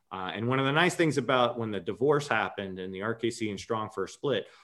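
A man speaks in a normal speaking voice at a medium pitch. The recording is very clean, with a silent background. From New York, Long Island. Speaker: kettlebell coach and gym owner. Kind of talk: casual chat.

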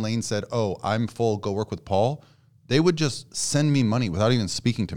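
This man talks at a fairly quick pace in a fairly low pitch with ordinary pitch variation. The recording is very clean, with a silent background. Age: 40s. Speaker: contest prep coach. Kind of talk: casual chat. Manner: soft-spoken.

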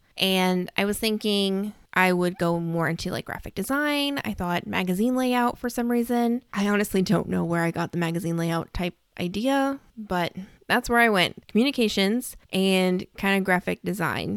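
An animated woman at a moderate pace with ordinary pitch variation, in a dry, close sound with no echo and a very clean recording with a silent background. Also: medium pitch for a woman. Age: 20s. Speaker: podcast host and romance author. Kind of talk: casual monologue.

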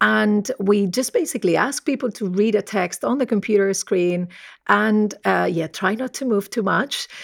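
A woman speaks at a medium pitch with ordinary pitch variation. The recording is very clean and dry, with a silent background and close sound with no echo. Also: moderate pace. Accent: Spanish. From Spain. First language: Spanish. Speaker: professor. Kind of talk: interview about research.

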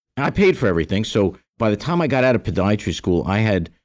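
Set against a very clean recording with a silent background, a plain, everyday voice moves at a fairly quick pace with lively intonation. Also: man. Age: 50s. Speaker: podiatrist and business coach. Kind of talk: interview.

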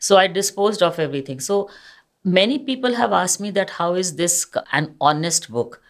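This woman talks at a fairly quick pace in a medium pitch, with very wide pitch swings and vocal fry. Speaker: retired police officer and author. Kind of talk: interview.

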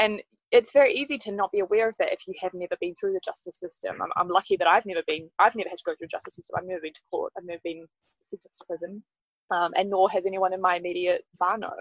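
A woman speaks at a very fast pace in a New Zealand accent. Her volume shows big swings in loudness. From New Zealand, Wellington. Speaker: justice reform advocate. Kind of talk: interview. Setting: outdoors.

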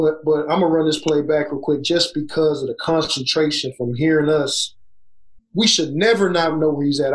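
Very even in loudness and fairly even in intonation, a man talks at a moderate pace in a fairly high voice. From Southeast Texas. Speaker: college basketball coach. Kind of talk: casual podcast interview and film breakdown.

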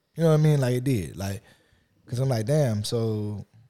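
On a very clean recording with a silent background, a man with a Louisiana accent speaks in a dark, mellow tone with lively intonation and a dry, close sound with no echo. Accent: Louisiana Southern American. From US South, Lafayette, Louisiana. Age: 30s. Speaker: podcast co-host. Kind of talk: casual chat.

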